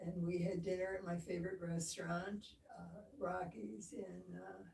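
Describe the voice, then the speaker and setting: There is vocal fry in this woman's fairly low voice, which has a dark, mellow tone. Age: 90. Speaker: surgery patient. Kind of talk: casual interview. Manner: slow.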